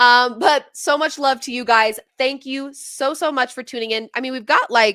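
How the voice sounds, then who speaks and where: On a very clean recording with a silent background, a woman speaks in a raised, projected voice that is high-pitched, bright and sharp, at a moderate pace with hardly any pauses, fairly even intonation and big swings in loudness. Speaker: sports livestream host. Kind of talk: casual livestream chat. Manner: talkative.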